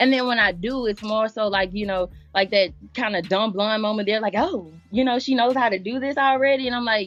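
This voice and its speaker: With music in the background, a woman speaks at a moderate pace in a fairly high pitch. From Louisiana. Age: 20s. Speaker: poet, singer and rapper. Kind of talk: interview. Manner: casual, conversational.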